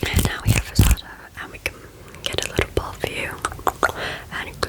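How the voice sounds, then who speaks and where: Whispering comes at a fairly quick pace, with noticeable noise in the background. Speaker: ASMR artist. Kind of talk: ASMR recipe visualisation. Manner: whispered, up close.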